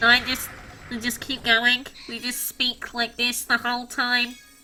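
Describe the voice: A female-sounding, nasal put-on character voice, high-pitched for a woman, at a moderate pace with monotone, flat intonation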